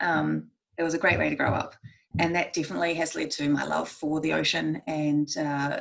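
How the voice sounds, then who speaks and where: With a New Zealand accent, a woman talks at a fairly quick pace and keeps her loudness very even. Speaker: marine scientist, guest speaker. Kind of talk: presentation talk. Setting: video call from home bedroom. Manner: fast.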